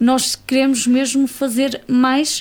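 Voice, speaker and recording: This is a woman talking. Her pitch is high. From Portugal, Cinfães area (Espadanedo). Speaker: association board member. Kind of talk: radio interview. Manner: halting.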